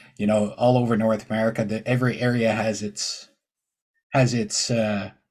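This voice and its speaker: A man with an Ontario accent speaks in a flat monotone. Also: medium pitch for a man, moderate pace. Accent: Canadian (Ontario). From Ontario, Canada. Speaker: podcast host and truck driver. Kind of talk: casual interview chat. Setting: podcast interview.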